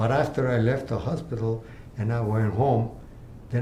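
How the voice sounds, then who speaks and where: There is audible room echo as a man talks at a moderate pace in a medium pitch. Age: 80s+. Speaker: cancer patient. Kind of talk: interview testimony. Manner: halting.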